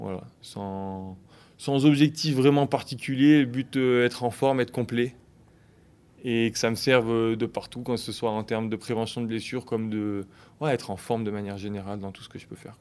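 At a moderate pace, a man speaks in a medium pitch with fairly even intonation in a very clean recording with a silent background. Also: big swings in loudness. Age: 30s. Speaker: fitness coach. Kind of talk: interview. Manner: halting.

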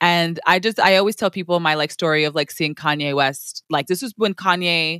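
A woman's ordinary speaking voice, fairly low in pitch, with ordinary pitch variation, a fairly quick pace and a dry, close sound with no echo. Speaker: podcast host. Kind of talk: casual chat.

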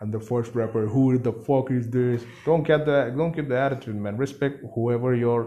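Over noticeable background noise, a man with a Bengali accent speaks at medium pitch and a moderate pace, with fairly even intonation and hardly any pauses. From India, Siliguri (West Bengal). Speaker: rapper. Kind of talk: casual interview chat. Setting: at home.

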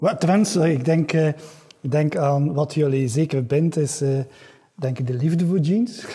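With noticeable background noise behind him, a man with a fairly high voice talks at a fairly slow pace, using ordinary pitch variation and long, frequent pauses. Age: 50s. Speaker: podcast host. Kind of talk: interview.

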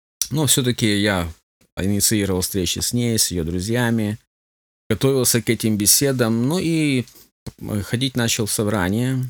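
In a very clean recording with a silent background, a man with a medium pitch speaks at a moderate pace with ordinary pitch variation and long, frequent pauses. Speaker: pastor and church union leader. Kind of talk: radio interview.

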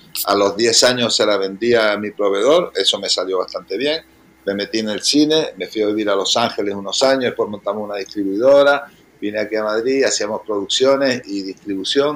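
A man at a medium pitch, fairly quick pace and ordinary pitch variation. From Canary Islands. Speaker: restaurant owner. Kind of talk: interview.

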